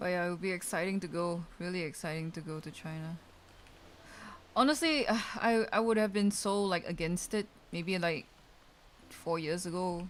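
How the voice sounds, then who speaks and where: A woman with a Malaysian accent and a fairly low pitch talks at a moderate pace, with ordinary pitch variation and long, frequent pauses. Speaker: VTuber streamer. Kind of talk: casual chat. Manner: casual, filler-heavy.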